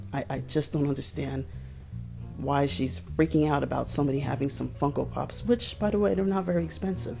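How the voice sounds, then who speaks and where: Music runs in the background. A woman speaks at a fairly quick pace. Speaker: exotic pet keeper. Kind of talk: commentary to camera.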